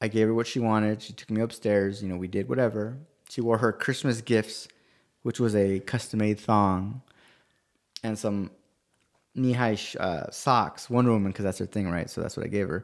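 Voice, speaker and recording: A man uses a normal speaking voice, fairly low in pitch with fairly even intonation. He keeps a moderate pace in a very clean recording with a silent background. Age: 40s. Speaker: podcast co-host. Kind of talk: casual chat.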